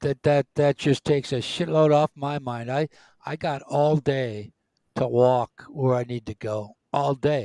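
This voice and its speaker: A dark, mellow voice moves at a fairly slow pace with ordinary pitch variation. The recording is very clean, with a silent background and a dry, close sound with no echo. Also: man, fairly high pitch for a man. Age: 60s. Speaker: retiree co-host of a live stream. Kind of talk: casual chat. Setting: live stream.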